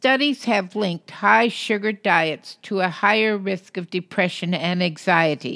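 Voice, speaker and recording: A woman speaks with lively intonation and hardly any pauses in a bright, sharp tone. The recording is very clean with a silent background. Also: medium pitch for a woman, fairly slow pace. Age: 70s. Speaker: health podcast host. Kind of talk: solo monologue.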